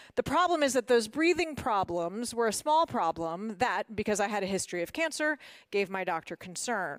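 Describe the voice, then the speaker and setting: A woman with a Mid-Atlantic accent talks at a moderate pace, her fairly high pitch swinging very widely. The sound is dry and close with no echo, in a very clean recording with a silent background. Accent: American, Mid-Atlantic. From Washington, D.C., US. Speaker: motivational speaker, former corporate lawyer. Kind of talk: prepared talk. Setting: stage with audience.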